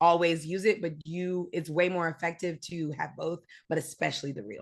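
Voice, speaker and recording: Against a quiet background, a woman speaks at a moderate pace in a medium-pitched voice with a bright, sharp tone. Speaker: entertainment journalist and radio host. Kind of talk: casual interview.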